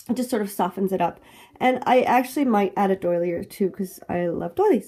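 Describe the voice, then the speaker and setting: At a moderate pace, a woman speaks with a dark, mellow tone that is somewhat breathy. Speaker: planner crafting youtuber. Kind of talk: tutorial. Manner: casual.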